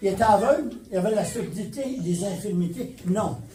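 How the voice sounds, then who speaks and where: With noticeable background noise and audible room echo, a man speaks at a fairly slow pace using lively intonation. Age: 80s+. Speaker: pastor. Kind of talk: sermon. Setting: church.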